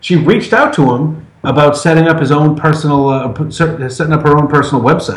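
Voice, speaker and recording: A somewhat breathy man with an American accent talks at a fairly quick pace with a fairly high pitch. His intonation stays fairly even and his loudness very even. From Massachusetts. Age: 40s. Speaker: podcast guest. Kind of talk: casual chat.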